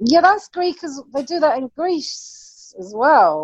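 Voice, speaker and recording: Her pitch swings very widely. This woman speaks at a fairly slow pace. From England, London. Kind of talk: casual chat.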